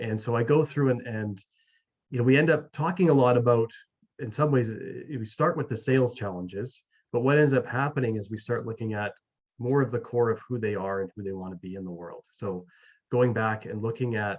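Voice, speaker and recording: A man with a Canadian accent talks fairly quickly in a plain, everyday voice, at medium pitch with ordinary pitch variation. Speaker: mental wellness coach and author. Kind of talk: interview. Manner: many fillers and repetitions.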